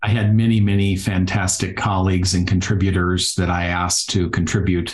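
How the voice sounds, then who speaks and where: In a slight Minnesota accent, a man talks at a fairly quick pace with a very deep, low pitch. His intonation is monotone and flat, his loudness very even, and his voice somewhat breathy. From Iowa, rural US Midwest. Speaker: physical therapist and yoga therapist. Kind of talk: podcast interview.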